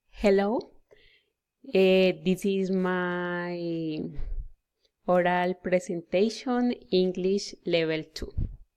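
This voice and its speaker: Long, frequent pauses break up a woman's speech at a very slow pace. Her medium pitch carries fairly even intonation. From Colombia, Pasto, Nariño. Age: 20s. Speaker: language student. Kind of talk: oral class presentation. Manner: halting, many fillers.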